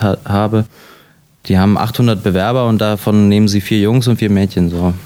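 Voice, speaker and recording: A man speaks at a fairly quick pace with a fairly low pitch. His intonation is monotone and flat. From Germany, Latvian family. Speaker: actor. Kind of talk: interview. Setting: hotel. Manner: halting, with fillers.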